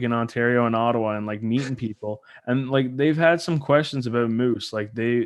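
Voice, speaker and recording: The background stays quiet. A man speaks at a fairly quick pace, with ordinary pitch variation. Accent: slight Newfoundland. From Newfoundland, Canada. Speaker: podcast host. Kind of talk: casual chat.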